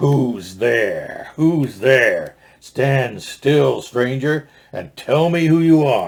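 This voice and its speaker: A man puts on a growling character voice at a fairly high pitch. He drags it out at a very slow pace. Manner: menacing.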